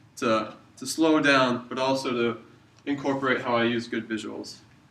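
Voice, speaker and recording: Audible room echo sits alongside noticeable background noise in this recording. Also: man. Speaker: university student. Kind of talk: video reflection. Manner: fast.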